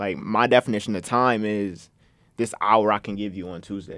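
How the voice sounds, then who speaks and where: A man with a normal speaking voice, fairly low in pitch, uses fairly even intonation in a very clean recording with a silent background. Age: 20s. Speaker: podcast host, college student. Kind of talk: casual chat. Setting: studio.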